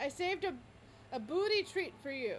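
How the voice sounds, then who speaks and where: Shouting at an extremely high pitch in a put-on character voice, the speaker goes at a moderate pace over clear background noise. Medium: actual play. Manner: excited, yelling.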